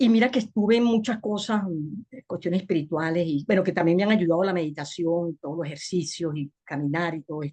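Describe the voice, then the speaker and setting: A somewhat breathy woman's voice, fairly quick, with lively intonation. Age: 60s. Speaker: webinar participant. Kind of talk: personal testimony.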